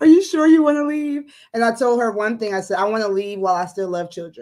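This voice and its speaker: A woman's dark, mellow voice at a fairly high pitch, with a slight West African accent, very wide pitch swings and a very fast pace. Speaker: educator and entrepreneur. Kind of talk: casual interview on livestream.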